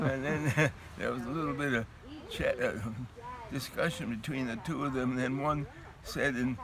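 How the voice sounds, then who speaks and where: Noticeable background noise sits behind a man talking at a moderate pace. He leaves long, frequent pauses and keeps a fairly even intonation. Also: medium pitch for a man. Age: 90s. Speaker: war veteran. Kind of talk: interview. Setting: outdoors.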